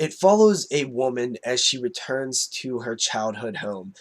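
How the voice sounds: A man speaks slowly at a medium pitch. His voice sounds nasal.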